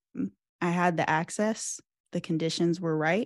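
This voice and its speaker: A woman's fairly low-pitched voice with an American accent, an ordinary speaking voice with ordinary pitch variation. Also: dry, close sound with no echo. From US Midwest, Cincinnati area. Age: 20s. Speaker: PhD student in engineering education. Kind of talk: interview.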